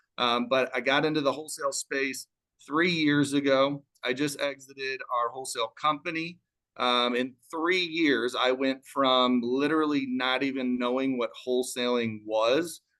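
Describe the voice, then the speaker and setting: Speaking with an American accent, a man keeps a moderate pace, a medium pitch, very even loudness and fairly even intonation in a bright, sharp tone. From Chicago. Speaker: real estate wholesaler. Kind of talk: business talk on live panel. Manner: calm.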